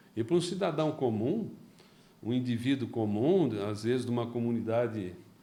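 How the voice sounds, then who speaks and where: A man's dark, mellow tone comes through with audible room echo. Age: 60s. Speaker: company founder, entrepreneur. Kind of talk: interview. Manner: halting, repeats words.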